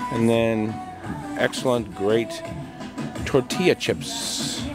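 Clear music plays behind a man speaking. The sound is dry, with no echo. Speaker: travel vlogger. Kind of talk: casual vlog commentary. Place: beach. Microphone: phone near.

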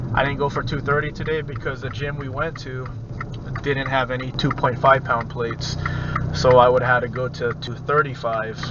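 A man speaks at a moderate pace. The sound is dry with no echo, though there is noticeable background noise. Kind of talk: casual vlog chat. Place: car. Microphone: camera far.

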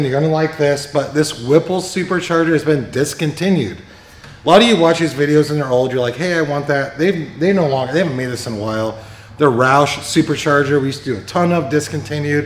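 A man rushes through his words at a very fast pace amid audible room echo. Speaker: presenter. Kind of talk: casual shop video commentary. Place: workshop. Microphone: phone near.

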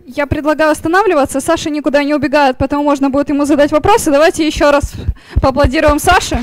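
A woman's high voice at a very fast pace, with fairly even intonation, very even loudness and a dry sound with no echo. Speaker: meetup moderator. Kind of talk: event hosting. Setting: stage with audience. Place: hall. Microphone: handheld.

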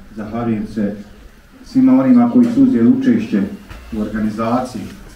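A man's voice amid light background noise and audible room echo. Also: long, frequent pauses. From Bosnia. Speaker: imam. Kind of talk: formal speech. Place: church.

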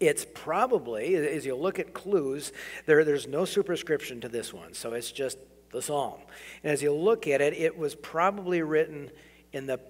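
Here a man talks at a moderate pace. His pitch variation is ordinary. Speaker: preacher. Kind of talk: sermon. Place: church. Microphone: podium.

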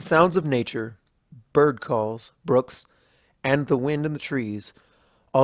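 Against a quiet background, a person reads aloud in a natural voice, the pitch varying in an ordinary way.

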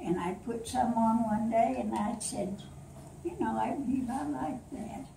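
A woman with a fairly high pitch talks at a fairly slow pace, her pitch swinging very widely, over noticeable background noise. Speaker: grandmother telling a family story. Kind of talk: storytelling to family. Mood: warm, playful. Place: home room. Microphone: camera far.

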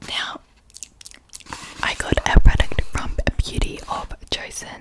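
Whispering, a woman speaks at a fairly slow pace. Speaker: ASMR creator. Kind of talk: ASMR whispered unboxing. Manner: whispered. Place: home room. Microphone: studio mic.

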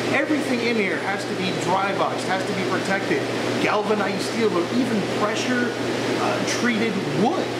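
A man at a moderate pace, ordinary pitch variation, loud background noise all around. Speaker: network installer vlogger. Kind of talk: casual vlog chat.

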